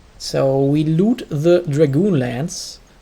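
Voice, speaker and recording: A man speaks with a German accent. His pitch varies in an ordinary way. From Germany. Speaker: video game speedrunner streamer. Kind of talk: live gameplay commentary.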